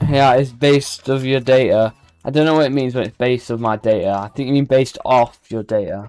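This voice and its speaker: Animated, fairly quick speech with a British accent. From Britain. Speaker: video game streamer. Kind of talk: live stream commentary. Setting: live stream. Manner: casual, animated.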